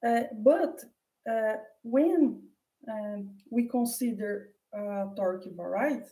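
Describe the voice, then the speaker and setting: In a Portuguese accent, a woman speaks at a very slow pace with long, frequent pauses, her tone dark and mellow and somewhat breathy. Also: fairly high pitch for a woman, ordinary pitch variation. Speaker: mathematician. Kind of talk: lecture. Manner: halting.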